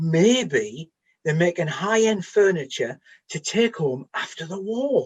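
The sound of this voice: A man does a put-on character voice at a fairly high pitch, with a slightly husky edge. He talks at a slow pace with big pitch swings.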